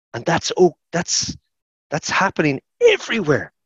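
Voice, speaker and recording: A fairly quick-paced man in an Irish accent, recorded dry with no echo. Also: quiet background. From Ireland. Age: 50s. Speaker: sports science lecturer. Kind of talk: podcast interview. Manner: animated; halting, repetitive. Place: office. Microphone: headset.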